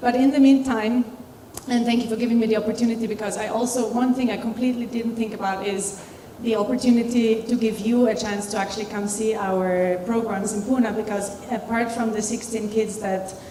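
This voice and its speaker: Amid noticeable background noise and audible room echo, a woman talks at a fairly quick pace and fairly high pitch with monotone, flat intonation. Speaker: alumna and charity founder. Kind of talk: panel discussion talk.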